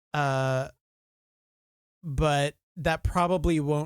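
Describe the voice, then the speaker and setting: On a very clean recording with a silent background, a man with an American accent talks at a fairly high pitch and fairly even intonation, in a dry, close sound with no echo. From Belgium, East Flanders. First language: Dutch. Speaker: author and streamer. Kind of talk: casual chat. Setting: live stream.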